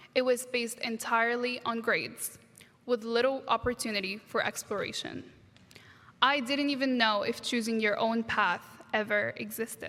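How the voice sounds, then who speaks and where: With an Arabic accent, a woman speaks at a moderate pace in a bright, sharp tone, her pitch fairly high and her intonation fairly even. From Egypt, Alexandria, moved to US at 13. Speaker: graduate student speaker. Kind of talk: commencement speech. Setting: stage with audience, graduation ceremony.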